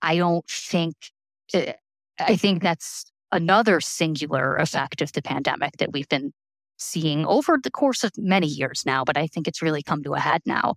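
A fairly low-pitched woman at a moderate pace, lively intonation, on a very clean recording with a silent background and a dry, close sound with no echo. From Chicago, US Midwest. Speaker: nonprofit digital strategist and adjunct lecturer. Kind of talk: interview conversation.

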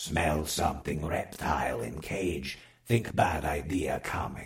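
The pace is fairly slow. A put-on character voice carries the delivery. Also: man, very deep, low pitch for a man. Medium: read story. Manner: broken clipped grammar; grumbling, complaining.

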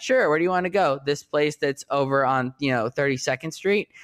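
A man with an American accent, lively intonation and a fairly quick pace, in a dry, close sound with no echo. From US Northeast. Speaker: TV journalist and writer. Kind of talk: casual interview chat. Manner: hesitant, many restarts.

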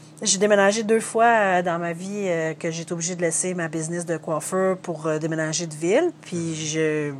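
Speaking at a fairly low pitch, a woman uses an unremarkable speaking voice with ordinary pitch variation. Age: 40s. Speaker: painter, singer and hairdresser. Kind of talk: interview.

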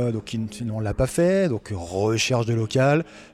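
A man's dark, mellow tone at a very slow pace, with lively intonation. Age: 30s. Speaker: future bar manager, former aviation mechanic. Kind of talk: casual interview. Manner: hesitant, many fillers.

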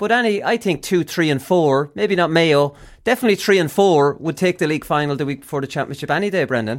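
In an Irish Midlands accent, the speaker races along at a very fast pace with lively intonation and hardly any pauses, on a very clean recording with a silent background. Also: man, fairly high pitch for a man. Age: 40s. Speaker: sports podcast host. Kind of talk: casual sports chat.

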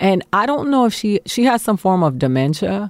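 A woman with an American accent speaks with very wide pitch swings in a dry, close sound with no echo, on a very clean recording with a silent background. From Miami, Florida. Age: 40s. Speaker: stand-up comedian. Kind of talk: casual chat.

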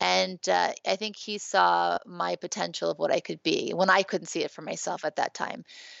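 This woman has an American accent and keeps a moderate pace. She speaks with hardly any pauses. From Louisiana, US South. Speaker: spiritual teacher and author. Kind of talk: interview conversation.

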